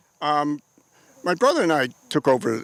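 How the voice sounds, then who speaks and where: A man with an American accent sounds dry and close with no echo, against noticeable background noise. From Connecticut, South Windsor. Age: 70s. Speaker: farmer. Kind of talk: interview.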